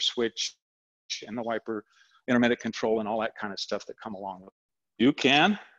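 A man is talking. His pace is fairly quick. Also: quiet background. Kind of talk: tutorial. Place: garage.

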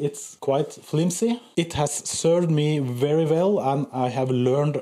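The man's fairly slow pace and ordinary pitch variation stand out over a quiet background. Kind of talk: casual vlog chat. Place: workshop. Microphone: camera far.

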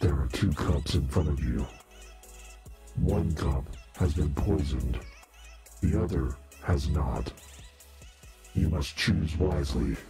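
A man's put-on character voice, very deep and low, at a fairly slow pace over clear background music. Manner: menacing, sinister.

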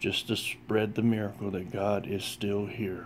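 Over light background noise, a man speaks very slowly. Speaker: religious vlogger. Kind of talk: short sermon-like vlog message. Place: home room. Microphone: phone near.

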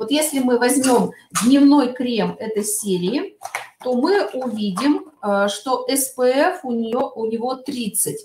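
With audible room echo, the speaker goes at a very slow pace using lively intonation. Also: woman. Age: middle-aged. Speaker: cosmetics sales consultant. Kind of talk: webinar product presentation. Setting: online webinar. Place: home room. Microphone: webcam.

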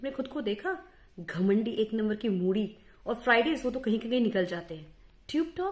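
At a moderate pace, a woman speaks with very wide pitch swings. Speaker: comic sketch performer. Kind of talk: scripted comic monologue to camera. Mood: sarcastic, mocking. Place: home room. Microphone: phone near.

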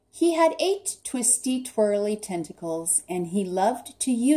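The speaker uses an unforced reading voice. The delivery stays in that unforced reading voice throughout.

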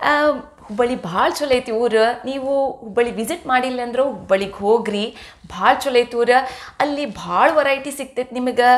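A woman speaks at a high pitch. Her pitch variation is ordinary. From North Karnataka, Hubballi; Karnataka. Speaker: cooking vlogger. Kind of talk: cooking tutorial vlog. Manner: chatty, talkative. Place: kitchen. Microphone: camera far.

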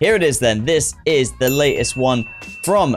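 Faint music sits in the background. Over it, a man talks. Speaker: reaction show host. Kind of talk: casual reaction commentary. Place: home room. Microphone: studio mic.

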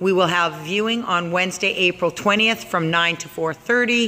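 Music can be heard behind the speaker. The delivery keeps a moderate pace. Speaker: auction house staff. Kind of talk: auction preview walkthrough narration. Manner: enthusiastic. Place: factory. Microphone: phone near.

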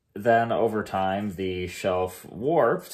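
In a quiet setting, a man talks in a very deep, low voice with ordinary pitch variation. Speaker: home renovation vlogger. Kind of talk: casual vlog chat. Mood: cheerful, relaxed. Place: home room. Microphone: phone near.

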